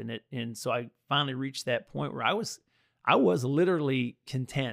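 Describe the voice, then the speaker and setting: A man with an American accent and a medium pitch speaks at a moderate pace in an ordinary speaking voice. The recording is very clean with a silent background. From US military bases, mostly Texas. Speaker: roofing business owner. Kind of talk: personal testimony in casual interview.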